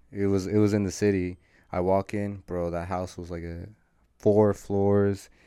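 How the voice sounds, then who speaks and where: On a very clean recording with a silent background, a man with a Californian accent speaks at a fairly slow pace in a monotone, flat intonation, his fairly low pitch carrying a dark, mellow tone. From San Rafael, Marin County, California. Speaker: college student and social media entrepreneur. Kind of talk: casual chat.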